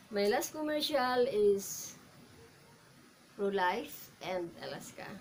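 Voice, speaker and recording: A woman with a Filipino accent speaks at a very slow pace and a medium pitch, with audible room echo. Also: lively intonation. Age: 50s. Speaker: actor and commercial model. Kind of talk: audition self-introduction. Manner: halting.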